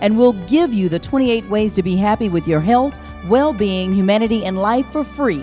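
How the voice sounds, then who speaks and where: A woman's upbeat tone at medium pitch and moderate pace, lively intonation, music in the background. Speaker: infomercial announcer and show host. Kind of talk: TV shopping channel promo announcer read. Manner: upbeat, salesy.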